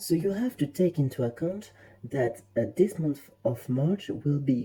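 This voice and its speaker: Someone talks at a moderate pace with a French accent. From France. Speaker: tarot reader. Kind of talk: tarot reading monologue. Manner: casual, hesitant with fillers.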